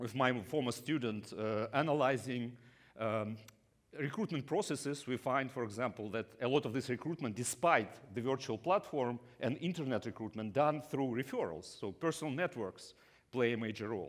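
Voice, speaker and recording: The speaker uses a Russian accent at a moderate pace with ordinary pitch variation. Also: man, medium pitch for a man. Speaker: business school professor. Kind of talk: conference talk. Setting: stage with audience. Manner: halting, many fillers.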